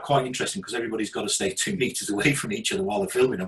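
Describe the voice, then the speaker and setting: In a British accent, a man talks with very wide pitch swings. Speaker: video marketing speaker. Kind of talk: presentation. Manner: many ums and hesitations.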